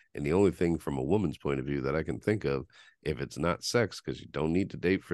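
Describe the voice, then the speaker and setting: A man's very deep, low pitch with vocal fry and an animated tone, set against a quiet background. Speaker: podcast host. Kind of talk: casual banter, crude humor. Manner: animated, joking.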